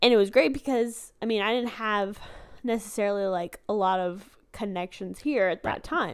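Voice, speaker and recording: A woman with a plain, everyday voice speaks at medium pitch and a moderate pace on a very clean recording with a silent background. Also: ordinary pitch variation. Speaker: podcast co-host. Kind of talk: casual chat.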